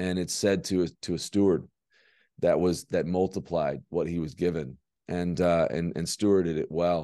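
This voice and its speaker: A man's very deep, low voice, dark and mellow, with fairly even intonation over a quiet background. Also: moderate pace. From Alabama. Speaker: film director. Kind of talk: inspirational talk. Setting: video link to event audience. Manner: halting.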